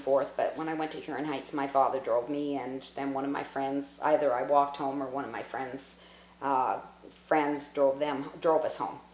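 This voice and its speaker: A woman with a Canadian accent talks over noticeable background noise. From Newmarket, Ontario, Canada. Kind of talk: oral history interview answer. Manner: reminiscing, conversational.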